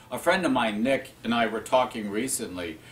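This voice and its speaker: With noticeable noise in the background, this man's pitch swings very widely as he talks at a moderate pace. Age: 60s. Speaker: spiritual teacher. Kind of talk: talk on spiritual self-help.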